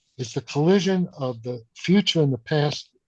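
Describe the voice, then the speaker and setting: Sounding dry and close with no echo, a man's somewhat breathy, fairly high voice moves at a moderate pace with ordinary pitch variation. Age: 80s+. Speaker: theoretical physicist. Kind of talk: interview.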